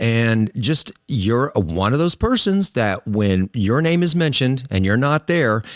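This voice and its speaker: A man with an American accent speaks fairly slowly at a medium pitch, with very wide pitch swings, hardly any pauses and very even loudness. The recording is very clean with a silent background, the sound dry and close with no echo. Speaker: podcast host. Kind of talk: casual interview chat.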